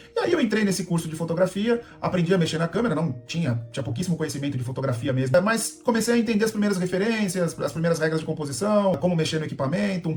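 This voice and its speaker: Over noticeable background noise, a man speaks very fast in a high voice with lively intonation. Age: 40s. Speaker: landscape photographer and YouTuber. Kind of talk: casual vlog introduction. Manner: casual, conversational.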